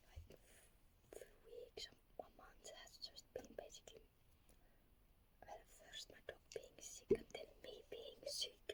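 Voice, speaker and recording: Someone whispers at a very slow pace. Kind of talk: ASMR casual rambling to camera. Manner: whispered.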